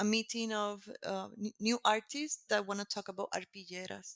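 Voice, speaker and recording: With a Puerto Rican accent, a woman speaks at a moderate pace and fairly high pitch, her intonation fairly even, in a dry, close recording with no echo. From Puerto Rico. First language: Spanish. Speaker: textile artist. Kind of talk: interview conversation. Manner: halting.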